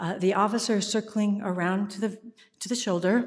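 Somewhat breathy, a woman talks at a moderate pace. Her pitch sits in the medium range. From US. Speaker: theater artistic director and actor. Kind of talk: live storytelling. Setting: church stage with audience. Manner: animated.

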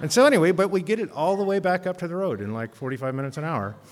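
The man talks at a fairly quick pace. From Alaska. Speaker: storyteller. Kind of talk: live storytelling. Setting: stage with audience.

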